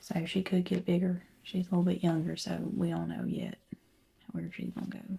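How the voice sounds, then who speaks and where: A soft-spoken woman with a Southern accent. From American South. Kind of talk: ASMR roleplay.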